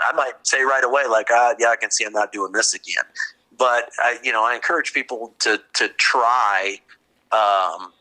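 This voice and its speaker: A man speaks at a medium pitch with ordinary pitch variation and a bright, sharp tone. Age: 40s. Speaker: dog breeder. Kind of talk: interview. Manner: halting, many repeated words.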